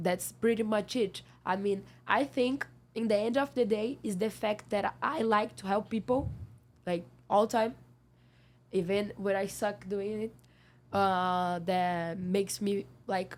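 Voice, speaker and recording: A woman's medium-pitched, fairly slow speech with a non-native accent, long, frequent pauses and ordinary pitch variation. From Brazil. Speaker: seasonal worker. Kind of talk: interview. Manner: halting; loud.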